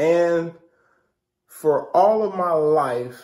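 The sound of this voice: Very slowly, a man speaks at a fairly high pitch with a dark, mellow tone.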